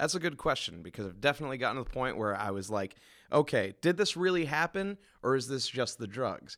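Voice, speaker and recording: Over a silent background in a very clean recording, a man speaks very fast at a medium pitch with very wide pitch swings. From Maine, New England. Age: 30s. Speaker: musician. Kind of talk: casual chat. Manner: halting.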